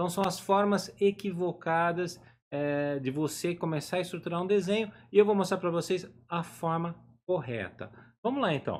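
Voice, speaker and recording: A high-pitched man speaks with ordinary pitch variation. His pace is moderate. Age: 50s. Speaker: drawing teacher. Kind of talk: live online lesson. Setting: home office, live stream.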